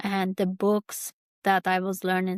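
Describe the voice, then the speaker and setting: In a very clean recording with a silent background and a dry, close sound with no echo, a woman with a Kurdish accent speaks very slowly at a medium pitch with monotone, flat intonation. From Turkey, Kurdish farming family. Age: 30s. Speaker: YouTuber, podcast host. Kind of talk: personal reflective monologue. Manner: halting, many fillers.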